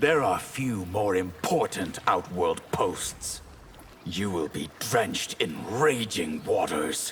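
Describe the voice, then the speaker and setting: Clear background noise surrounds a man doing a put-on character voice, fairly low in pitch, with very wide pitch swings and a very slow pace. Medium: video game. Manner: measured, solemn.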